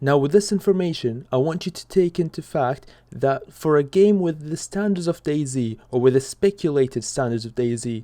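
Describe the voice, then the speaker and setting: A man with a non-native accent, fairly high pitched with a dark, mellow tone, lively intonation, big swings in loudness, a moderate pace and hardly any pauses. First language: not English. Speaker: gaming YouTuber. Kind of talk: video commentary.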